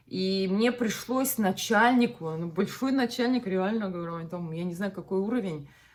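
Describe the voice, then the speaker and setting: A woman speaks at a moderate pace with hardly any pauses. Her medium pitch shows ordinary variation. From Russia, Bashkortostan. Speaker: vlogger. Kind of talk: casual chat. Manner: animated.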